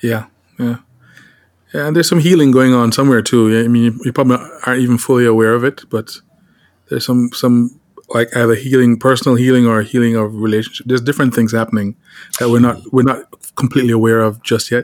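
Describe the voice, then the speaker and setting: A man's medium-pitched voice at a very fast pace, broken by long, frequent pauses. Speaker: podcast host. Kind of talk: casual interview chat. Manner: warm, enthusiastic.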